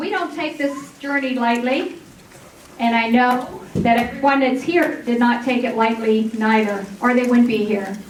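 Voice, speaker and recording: A woman speaks loudly at a fairly slow pace, with a high pitch and ordinary pitch variation. Noticeable background noise and audible room echo fill the recording. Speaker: massage therapy program coordinator. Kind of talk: graduation ceremony speech. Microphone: microphone cutting out.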